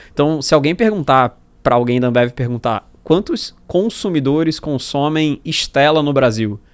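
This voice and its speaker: With lively intonation and a fairly high pitch, a man speaks at a fairly slow pace on a very clean recording with a silent background. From Brazil, Rio de Janeiro. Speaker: startup founder and marketing executive. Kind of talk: podcast interview.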